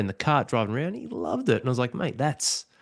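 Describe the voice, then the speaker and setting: A man with an Australian accent talks very fast against a quiet background. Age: 40s. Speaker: podcast host. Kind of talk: casual chat.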